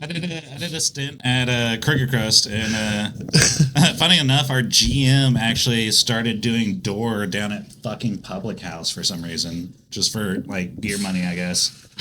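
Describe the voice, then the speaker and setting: Over noticeable background noise, a man at medium pitch talks at a fairly slow pace with lively intonation and hardly any pauses. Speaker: restaurant worker. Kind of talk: casual chat.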